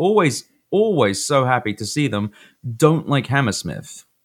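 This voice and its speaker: Recorded very cleanly against a silent background, a man with a London accent and medium pitch talks at a fairly quick pace with lively intonation. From London, England. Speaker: podcast co-host. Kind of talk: casual chat.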